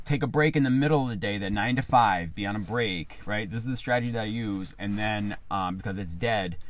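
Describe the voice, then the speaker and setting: An animated male voice, fairly low-pitched, at a fairly quick pace with hardly any pauses and audible room echo. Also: ordinary pitch variation. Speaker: rideshare driver and YouTuber. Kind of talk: casual vlog talk to camera. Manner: loud.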